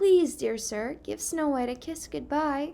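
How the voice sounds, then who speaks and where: Here a woman puts on a character voice with a high pitch. Her pace is fairly slow. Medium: read story.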